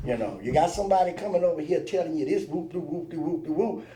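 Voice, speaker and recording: Someone with an American accent speaks at a very fast pace in a room with audible echo. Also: man. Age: 60s. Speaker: truck driver and father of the host. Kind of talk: casual chat. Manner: animated.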